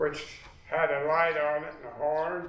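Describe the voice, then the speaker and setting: With an American accent, a man with a fairly high pitch talks at a very slow pace over noticeable background noise. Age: old. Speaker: war veteran. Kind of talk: interview answer.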